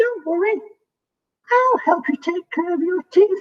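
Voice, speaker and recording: A squeaky, extremely high-pitched put-on character voice at a moderate pace. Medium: read story.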